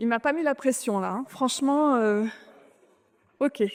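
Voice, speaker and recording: Fairly slow speech comes from a woman with a high voice. Her pitch varies in an ordinary way. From France. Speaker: conference speaker, clean tech executive. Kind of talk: conference talk. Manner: hesitant.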